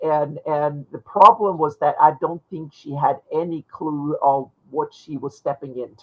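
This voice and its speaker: Barely pausing, a woman with a very deep, low pitch speaks with big swings in loudness. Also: ordinary pitch variation. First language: not English. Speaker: fantasy map maker. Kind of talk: casual chat. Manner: halting, many repeated words.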